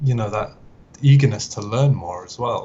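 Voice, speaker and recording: A man speaks with a British accent and ordinary pitch variation. Noticeable background noise is present. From northern England, Manchester. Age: 20s. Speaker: automotive concept artist. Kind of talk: podcast interview. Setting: live stream.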